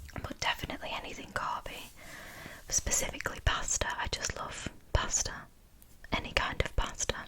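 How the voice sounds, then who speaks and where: Someone whispers at a moderate pace with long, frequent pauses, over noticeable background noise. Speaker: ASMR artist. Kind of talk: ASMR Q&A, soft-spoken talk to camera. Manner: soft-spoken, whispery.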